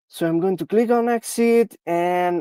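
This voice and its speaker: Someone with a non-native accent speaks at a fairly slow pace in a very clean recording with a silent background. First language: not English. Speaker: security researcher. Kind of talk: technical demo. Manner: halting, many fillers.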